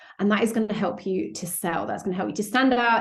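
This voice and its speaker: Talking at a very fast pace, a woman has a medium pitch and a British accent. Noticeable background noise can be heard. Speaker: sales coach. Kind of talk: podcast interview. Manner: animated.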